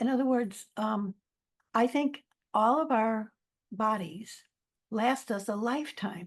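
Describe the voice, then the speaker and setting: A woman speaks in a fairly high, somewhat breathy voice. Her intonation is lively. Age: 70s. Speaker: author and life counselor. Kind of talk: interview. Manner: halting.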